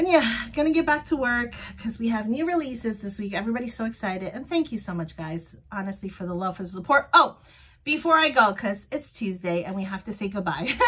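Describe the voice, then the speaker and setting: A woman talks at a very fast pace in a bright, sharp tone, her pitch swinging very widely and her loudness rising and falling sharply against a quiet background. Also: fairly high pitch for a woman. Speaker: vlogger running a small sticker shop. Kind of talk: casual solo vlog. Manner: loud, animated. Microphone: phone near.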